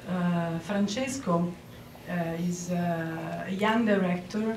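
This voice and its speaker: In a very slow delivery, a woman with an Italian accent speaks at a medium pitch with ordinary pitch variation, and audible room echo surrounds her voice. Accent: Italian accent, non-native English. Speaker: photographer and 3D filmmaker. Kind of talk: award acceptance speech. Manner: hesitant, many fillers.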